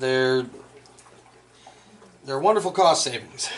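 Light background noise sits behind a man speaking at a moderate pace. His pitch varies in an ordinary way. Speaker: craftsman demonstrating armor making. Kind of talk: tutorial. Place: workshop.

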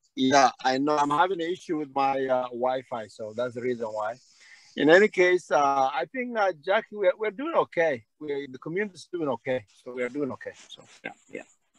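A man with a normal speaking voice talks fairly quickly at a fairly high pitch, his loudness swinging widely. The sound is dry with no echo, and the background is quiet. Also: lively intonation. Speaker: community leader. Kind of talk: Q&A session. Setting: video call. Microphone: video call.

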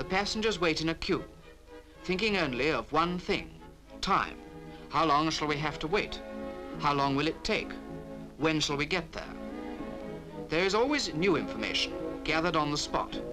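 Clear music plays behind a man who talks at a moderate pace with ordinary pitch variation and long, frequent pauses. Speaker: documentary narrator. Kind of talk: documentary narration. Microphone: old recording.

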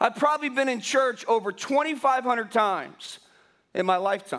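A man at an extremely high pitch, lively intonation, fairly slow pace, quiet background. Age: 50s. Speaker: pastor. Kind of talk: sermon. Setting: church. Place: church.

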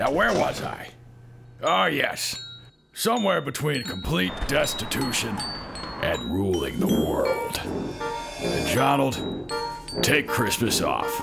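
A man uses a put-on character voice at a fairly slow pace, with long, frequent pauses and loud background noise behind him. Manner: pompous, theatrical.

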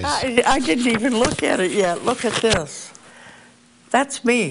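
A fairly high-pitched woman in an American accent at a fairly slow pace, over noticeable background noise. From Youngstown, Ohio, USA. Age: 80s+. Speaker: author and former English teacher. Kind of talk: interview answer. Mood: warm, reflective. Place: home room. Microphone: lapel.

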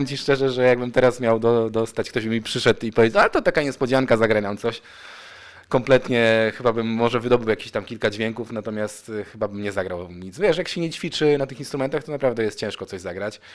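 Talking very fast, a man keeps to a medium pitch with ordinary pitch variation. His loudness swings widely. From Poland, Opoczno area. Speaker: rapper and singer. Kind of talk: radio interview.

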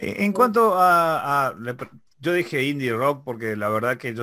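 A man's bright, sharp voice at a fairly slow pace, with lively intonation over a quiet background. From Argentina. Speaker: web show interviewer. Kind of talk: interview. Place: home room. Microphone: studio mic.

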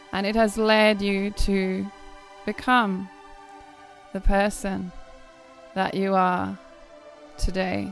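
A woman at a medium pitch, very slow and flat in a monotone, with long, frequent pauses and music in the background. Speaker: spiritual guide and healer. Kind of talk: guided meditation. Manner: slow, soft-spoken.

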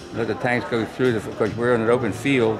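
Music plays clearly behind a man as he talks. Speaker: war veteran. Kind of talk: interview answer. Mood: reflective storytelling. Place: hall. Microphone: phone near.

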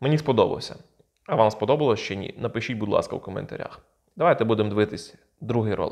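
A man at a very fast pace against a quiet background. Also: medium pitch for a man, ordinary pitch variation. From Ukraine. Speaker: video blogger. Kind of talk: casual commentary on videos. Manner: informal, sarcastic. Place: home room. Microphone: lapel.

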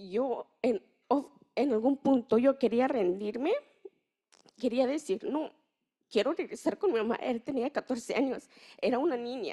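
Against a quiet background, a woman with a high pitch and a dark, mellow tone speaks at a fairly slow pace, using lively intonation and long, frequent pauses. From Mexico, Chiapas. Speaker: youth researcher and migrant youth leader; panelist. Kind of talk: personal testimony. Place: hall. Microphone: handheld.

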